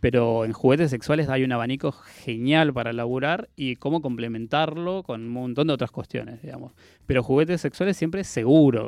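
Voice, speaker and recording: A man talks at a moderate pace in a normal speaking voice, with a medium pitch and ordinary pitch variation. He hardly pauses at all. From Argentina, Patagonia (Chubut). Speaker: proctologist. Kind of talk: radio interview. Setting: radio studio.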